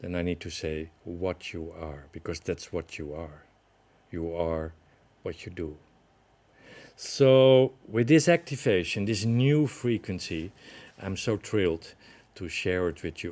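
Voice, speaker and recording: The delivery is fairly slow, broken by long, frequent pauses. Intonation is lively, with big swings in loudness. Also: man, very deep, low pitch for a man. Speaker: spiritual teacher. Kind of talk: webinar talk. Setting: online webinar.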